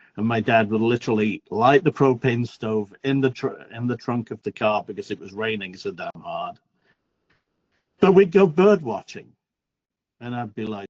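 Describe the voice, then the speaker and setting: A man's medium-pitched voice in a northern English accent, with lively intonation, a moderate pace and a dry, close sound with no echo. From northern England. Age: 60s. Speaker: workshop attendee. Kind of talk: casual self-introduction in video call.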